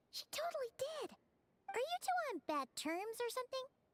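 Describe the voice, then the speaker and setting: This put-on character voice is squeaky and set at an extremely high pitch. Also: moderate pace. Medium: video game. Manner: fast, excitable.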